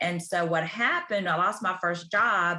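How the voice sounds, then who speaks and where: Here a woman has a Southern US accent and a medium pitch. Her tone is bright and sharp, with ordinary pitch variation. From US South, Tuscaloosa, Alabama. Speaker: ICU physician and career consultant. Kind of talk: podcast interview.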